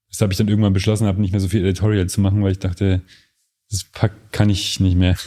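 A man talks very fast in a dark, mellow tone, his intonation flat and monotone. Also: fairly low pitch for a man. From Lower Bavaria, Germany. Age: 30s. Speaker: photographer. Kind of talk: casual interview.

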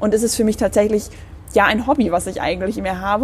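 A woman's very fast speech over noticeable background noise. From Bremen, Germany. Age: 20s. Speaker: young politician, youth party chairperson. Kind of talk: casual interview.

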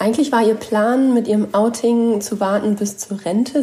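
Noticeable background noise runs under this recording. A woman speaks at a fairly high pitch with fairly even intonation. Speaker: journalist. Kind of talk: casual chat.

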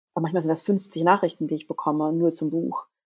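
A woman's fairly low voice with vocal fry, on a very clean recording with a silent background. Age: 40s. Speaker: body image activist and author. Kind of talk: casual interview. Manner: halting.

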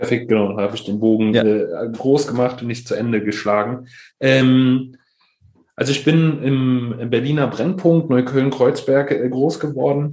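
Medium in pitch and dark and mellow in tone, a man talks at a moderate pace with ordinary pitch variation amid audible room echo. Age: 20s. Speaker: startup founder, resilience trainer. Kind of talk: podcast interview. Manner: halting, many fillers.

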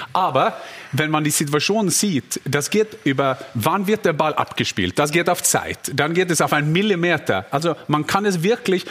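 Through noticeable background noise, a man with a Norwegian accent speaks at a fairly high pitch with lively intonation. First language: Norwegian (speaking German). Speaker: football pundit, former striker. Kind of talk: talk show panel discussion.

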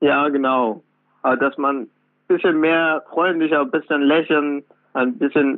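A man with a fairly high pitch talks at a very slow pace with long, frequent pauses, very even loudness and ordinary pitch variation. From Afghanistan, then Iran. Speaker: trainee electrician and author. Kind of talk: interview. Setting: phone call. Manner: halting.

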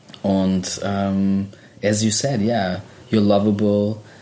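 Noticeable background noise sits behind a man speaking at a fairly low pitch. His delivery is very slow, with monotone, flat intonation. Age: 30s. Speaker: podcast host. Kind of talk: casual chat.

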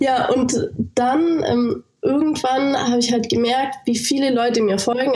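Audible room echo surrounds a woman's voice. She speaks high-pitched at a moderate pace with ordinary pitch variation. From Lake Constance region, southern Germany. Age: 20s. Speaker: fitness influencer. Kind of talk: interview. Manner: casual, filler-heavy.

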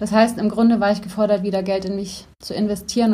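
Audible room echo surrounds a woman's somewhat breathy voice at medium pitch, moving at a moderate pace with fairly even intonation. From Bavaria, Germany (Neuburg an der Donau). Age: 30s. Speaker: life coach. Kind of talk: interview.

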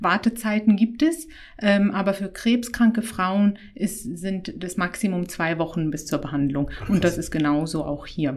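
An ordinary speaking voice from a woman, medium in pitch, fairly slow, with lively intonation. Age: 30s. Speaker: gynecologist. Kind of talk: casual interview.

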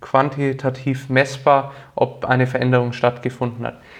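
Against a quiet background, a man with a Franconian accent speaks at a moderate pace. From Franconia, Nuremberg (Bavaria, Germany). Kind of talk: interview.

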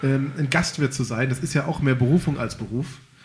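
The voice is somewhat breathy, with fairly even intonation. It moves at a fairly quick pace. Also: man. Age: 30s. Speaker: local podcast host. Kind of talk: casual chat.

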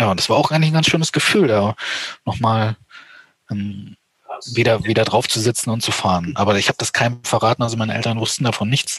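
A man at a very fast pace. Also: dry, close sound with no echo. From eastern Germany. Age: 30s. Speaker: amputee motocross rider. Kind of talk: interview.

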